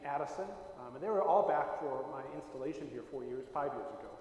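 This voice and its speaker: Over noticeable background noise and audible room echo, a man talks with an Upper Midwest accent at a fairly high pitch. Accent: Upper Midwest American. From Wisconsin, Milwaukee area. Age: 60s. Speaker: Lutheran bishop. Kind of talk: talk to congregation, personal reminiscence. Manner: hesitant, many fillers.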